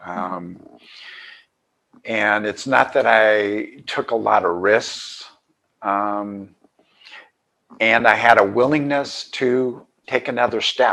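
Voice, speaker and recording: Pausing long and often, a man talks very slowly in a fairly low pitch with a bright, sharp tone and fairly even intonation. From US West Coast (California). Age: 70s. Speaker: author. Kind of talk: interview. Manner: halting.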